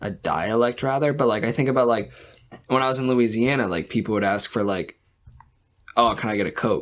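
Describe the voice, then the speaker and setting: A man speaks at a fairly quick pace in a medium pitch with a slight Boston accent. His pitch varies in an ordinary way, and his pauses are long and frequent. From Massachusetts, Boston area. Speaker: podcast co-host. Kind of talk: casual chat.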